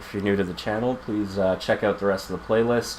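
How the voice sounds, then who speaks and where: A man talks quietly at a fairly low pitch with fairly even intonation. Noticeable background noise sits behind him. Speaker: video game streamer. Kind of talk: gameplay commentary. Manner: quiet, low projection; casual, many fillers.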